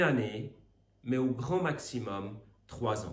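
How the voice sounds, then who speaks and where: Somewhat breathy and very slow, a man with a Swiss accent speaks with audible room echo. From Switzerland. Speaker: Bible teacher. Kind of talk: recorded Bible teaching. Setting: recorded video, away on retreat.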